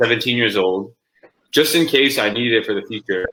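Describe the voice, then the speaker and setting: A man talks with a Canadian accent. His tone is bright and sharp. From Vancouver, Canada. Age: 20s. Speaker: professional basketball player. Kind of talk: interview.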